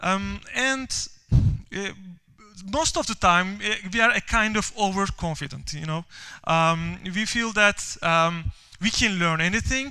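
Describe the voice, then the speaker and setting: A man with a Turkish accent uses a raised, projected voice with a bright, sharp tone. His high pitch shows ordinary variation at a fairly slow pace. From Turkey. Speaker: software developer and conference speaker. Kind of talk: conference talk. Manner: halting, many fillers and repeats.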